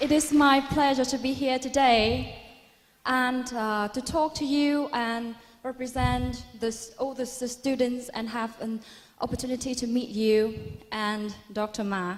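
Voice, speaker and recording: A woman's high voice in a Vietnamese accent, fairly slow and fairly even in intonation. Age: 20s. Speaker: university student. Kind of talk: audience question. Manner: formal.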